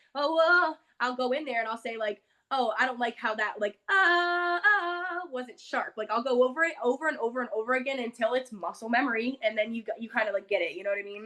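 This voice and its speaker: Loud and animated, the voice moves at a fairly quick pace with lively intonation. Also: woman, high pitch for a woman. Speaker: singer. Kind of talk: interview.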